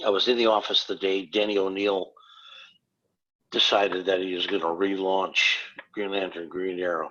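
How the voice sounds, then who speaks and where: Bright and sharp in tone, a man with an Upper Midwest accent speaks at a fairly low pitch with fairly even intonation. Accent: Upper Midwest American. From northern Wisconsin. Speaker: comic book artist. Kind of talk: casual interview chat.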